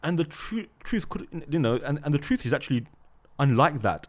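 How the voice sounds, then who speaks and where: A man speaks in a British accent at a fairly high pitch. His tone is animated, with lively intonation. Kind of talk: casual discussion.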